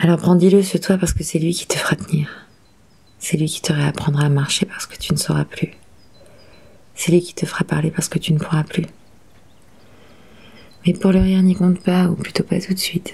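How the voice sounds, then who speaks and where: A woman with fairly low pitch and monotone, flat intonation, at a moderate pace with long, frequent pauses, over noticeable background noise. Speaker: actress. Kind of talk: dramatic monologue.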